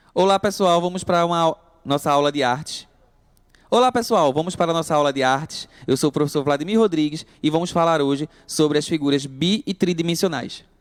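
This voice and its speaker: The speech runs at a fairly quick pace, with very even loudness and ordinary pitch variation. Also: man, fairly high pitch for a man, dry, close sound with no echo. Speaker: art teacher. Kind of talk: online lesson. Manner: halting, many self-corrections.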